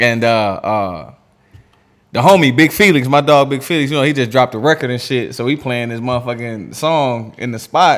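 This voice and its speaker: On a very clean recording with a silent background, a man with an ordinary speaking voice, medium pitch, and an American accent talks at a moderate pace with ordinary pitch variation. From Erie, Pennsylvania and St. Louis. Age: 30s. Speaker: podcast host. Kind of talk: casual chat.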